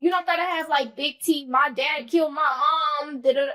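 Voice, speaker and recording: Loud and high-pitched, a woman speaks in a bright, sharp tone with ordinary pitch variation. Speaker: podcast host. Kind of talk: casual chat.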